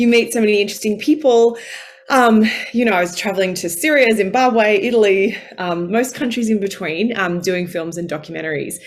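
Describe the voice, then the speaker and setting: Against noticeable background noise, a woman at medium pitch talks at a fairly quick pace with ordinary pitch variation. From Australia. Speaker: former journalist, women's career coach. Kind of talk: online masterclass talk. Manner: animated.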